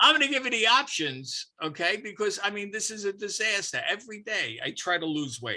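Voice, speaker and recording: A man's raised, projected voice, bright and sharp in tone, with very wide pitch swings at a moderate pace on a very clean recording with a silent background. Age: 80s+. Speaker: podcast guest, Marine Corps veteran. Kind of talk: casual chat.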